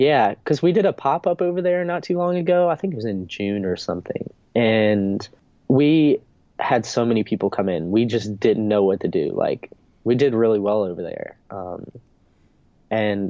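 A man talks at a medium pitch. His voice makes very wide pitch swings. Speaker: surf brand founder. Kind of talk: casual interview chat. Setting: video call. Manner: laid-back surfer speech, filler words.

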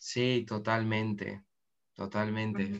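With an Argentine accent, a man speaks at a fairly slow pace in a monotone, flat intonation. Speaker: podcast host. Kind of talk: casual interview.

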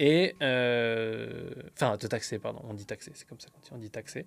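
This man's voice sits at a medium pitch. He speaks very slowly. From France. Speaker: entrepreneur, podcast co-host. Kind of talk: casual chat.

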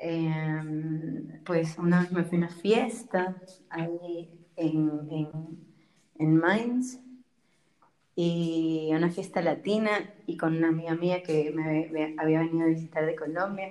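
Dark and mellow in tone, a woman speaks at a fairly low pitch and a very slow pace. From Ecuador. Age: 20s. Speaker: biology student. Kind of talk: casual interview chat.

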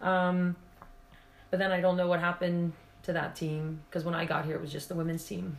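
Her voice fairly low in pitch, a woman speaks in a monotone, flat way, with long, frequent pauses. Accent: American. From Pennsylvania, US. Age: 50s. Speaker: former basketball player. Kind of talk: casual interview chat.

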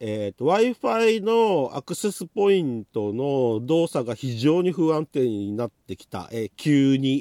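Pitch swings very widely in a dark, mellow tone. The pace is fairly slow, and the sound is dry and close with no echo. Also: man. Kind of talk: solo monologue podcast, casual chat. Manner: casual, rambling with fillers.

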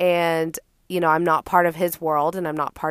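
A woman with an American accent speaks in an animated tone at a fairly low pitch, with a dry, close sound, no echo, and a very clean recording over a silent background. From Austin, Texas. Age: 20s. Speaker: podcast host. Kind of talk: casual monologue.

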